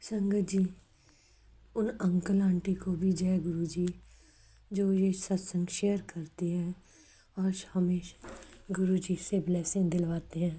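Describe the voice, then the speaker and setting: At a medium pitch, a woman speaks in a dark, mellow, somewhat breathy tone with monotone, flat intonation, very even loudness and long, frequent pauses. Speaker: devotee sharing testimony. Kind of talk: devotional testimony. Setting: recorded at home at evening.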